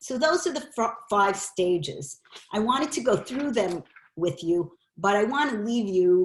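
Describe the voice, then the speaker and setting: Her medium-pitched voice somewhat breathy, a woman speaks with very wide pitch swings. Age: 60s. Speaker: teacher of a class on anxiety. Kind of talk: online class lecture. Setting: video call.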